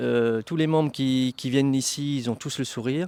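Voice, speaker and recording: A man speaks at a moderate pace with a dark, mellow tone and fairly even intonation. The sound is dry and close with no echo, on a very clean recording against a silent background. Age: 60s. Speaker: flying club vice-president. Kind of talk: interview.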